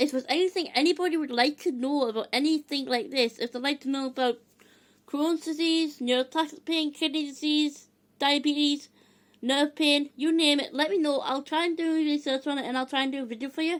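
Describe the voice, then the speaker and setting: A loud, high-pitched woman's voice with fairly even intonation at a fairly quick pace. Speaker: video blogger sharing health experiences. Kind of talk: casual vlog talk to camera.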